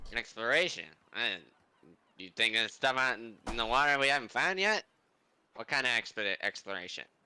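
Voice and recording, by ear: Using a nasal, put-on character voice, a man speaks fairly quickly at a medium pitch with lively intonation, big swings in loudness, and long, frequent pauses.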